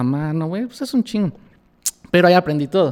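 Here is a man with a normal speaking voice. He moves at a fairly quick pace. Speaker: denim designer. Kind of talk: casual interview chat.

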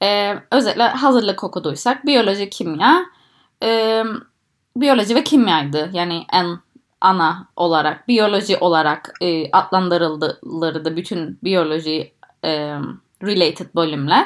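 Lively intonation marks a woman's speech, delivered at a very slow pace. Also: medium pitch for a woman. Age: 20s. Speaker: PhD student in microbiology. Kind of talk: interview. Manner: halting, many fillers.

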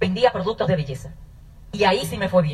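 A woman talks at a fairly quick pace. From Dominican Republic, north (Manzanillo). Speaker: network marketing business owner. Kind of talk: testimony.

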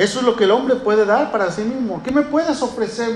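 Noticeable background noise and audible room echo accompany a fairly quick delivery with ordinary pitch variation. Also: man. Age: 30s. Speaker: pastor. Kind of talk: sermon.

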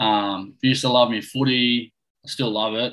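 A man talks with an Australian accent in a bright, sharp tone. His intonation is monotone and flat. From Australia, central west New South Wales. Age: 20s. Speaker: professional golfer. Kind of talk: casual chat. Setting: video call.

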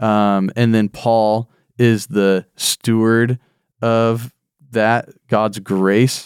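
A man's flat, monotone delivery at medium pitch, very slow in pace and very even in loudness, with a dry, close sound and no echo. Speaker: pastor. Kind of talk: casual chat.

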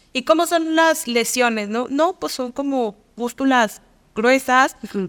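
On a very clean recording with a silent background, a woman talks at a high pitch with ordinary pitch variation. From Mexico, Durango. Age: 30s. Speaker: nutritionist. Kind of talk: interview.

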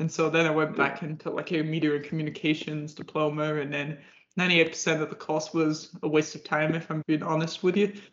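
Speaking at a fairly quick pace, a man with an English accent keeps a fairly high pitch and a flat, monotone intonation. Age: 20s. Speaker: podcast host. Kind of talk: interview.

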